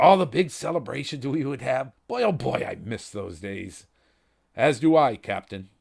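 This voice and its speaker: In a put-on character voice, a raspy man speaks at a medium pitch and moderate pace, his pitch swinging very widely. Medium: read story. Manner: hesitant, polite, with small "uh" fillers.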